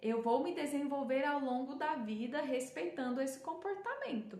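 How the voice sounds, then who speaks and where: A woman speaks in a Goiás accent, with audible room echo around her. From Brazil, Goiás. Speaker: self-development speaker. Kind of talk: talk to viewers. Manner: hesitant, many fillers.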